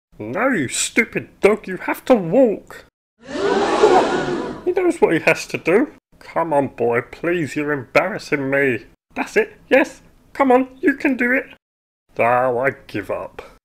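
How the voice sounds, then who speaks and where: At a fairly slow pace, a man uses a high-pitched, cartoonish character voice. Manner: exasperated, pleading, sarcastic.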